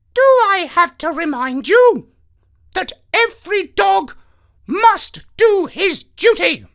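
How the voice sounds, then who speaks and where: Delivered at a very slow pace, the put-on character voice is pitched extremely high. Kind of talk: formal, lecturing. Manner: pompous, presidential.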